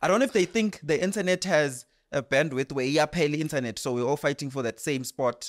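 In a very clean recording with a silent background and a dry, close sound with no echo, a man with a normal speaking voice talks at a fairly quick pace and fairly high pitch with lively intonation. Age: 20s. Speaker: podcast host and MC. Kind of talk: interview.

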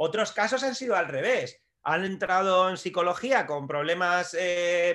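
A man's raised, projected voice, high-pitched with a bright, sharp tone and ordinary pitch variation, in a very clean recording with a silent background. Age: 40s. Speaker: strength and conditioning coach, trainer educator. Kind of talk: podcast interview.

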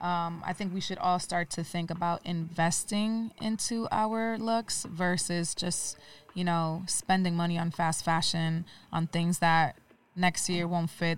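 A woman's ordinary speaking voice, fairly low in pitch, at a fairly slow pace with fairly even intonation, on a very clean recording with a silent background. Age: 30s. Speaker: fashion designer and entrepreneur. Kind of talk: interview.

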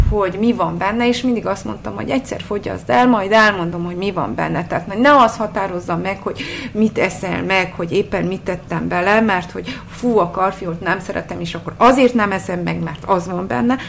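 A woman at a medium pitch and moderate pace, with ordinary pitch variation and noticeable background noise. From Transylvania, Csíkszereda. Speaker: food blogger. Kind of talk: interview. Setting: home kitchen.

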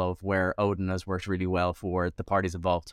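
Recorded very cleanly against a silent background, a man with a Dublin accent sounds dry and close, with no echo. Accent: Irish (Dublin). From Ireland (Dublin). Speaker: podcast host. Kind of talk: interview.

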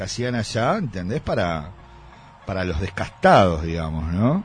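A man with a Uruguayan accent speaks at a moderate pace. His pitch swings very widely. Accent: Rioplatense Spanish (Uruguayan). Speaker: music columnist. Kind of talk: casual radio chat.

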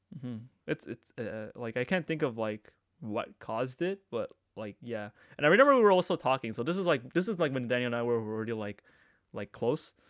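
Using a normal speaking voice, a man with a Canadian accent speaks at a fairly quick pace and medium pitch, the sound dry and close with no echo on a very clean recording with a silent background. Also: lively intonation. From Canada, Markham, Ontario. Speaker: podcast co-host. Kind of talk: casual chat.

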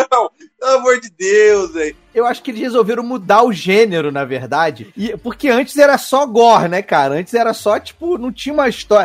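A man speaks at a fairly quick pace with hardly any pauses, his high pitch making very wide swings. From Brazil, Petrópolis (Rio de Janeiro state). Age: 30s. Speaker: radio host and podcast guest. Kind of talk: casual chat.

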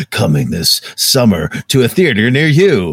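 A man's put-on character voice at medium pitch, with very wide pitch swings. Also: moderate pace. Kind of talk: dramatic, announcer.

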